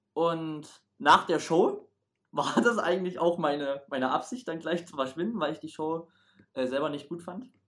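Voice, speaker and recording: Speaking at a moderate pace, a man with a fairly high pitch shows ordinary pitch variation and big swings in loudness. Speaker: stage performer at a holiday camp. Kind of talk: casual chat.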